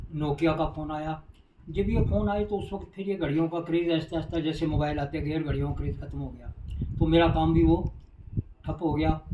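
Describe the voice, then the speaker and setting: There is noticeable background noise as a man speaks at a fairly high pitch with fairly even intonation. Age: 70s. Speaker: direct-selling distributor. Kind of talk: life story interview.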